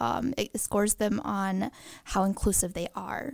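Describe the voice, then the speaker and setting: A woman with a normal speaking voice talks at a fairly slow pace, with medium pitch and ordinary pitch variation. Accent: American. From Green Bay, Wisconsin, US Midwest. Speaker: equal rights commission chair. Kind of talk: casual interview. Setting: studio.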